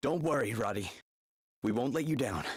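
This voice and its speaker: Using a raspy, put-on character voice, a man talks at a medium pitch and a fairly quick pace. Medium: video game. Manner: upbeat, encouraging.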